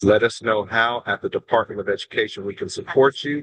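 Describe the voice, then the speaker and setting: Dry and close with no echo, the recording has a man of medium pitch speaking at a fairly quick pace, somewhat breathy, with ordinary pitch variation. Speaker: education official. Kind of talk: webinar remarks. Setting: video call from a plane.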